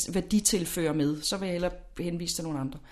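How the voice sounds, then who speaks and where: A woman speaks in an ordinary speaking voice at medium pitch and a moderate pace. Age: 40s. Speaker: lifestyle expert. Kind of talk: interview.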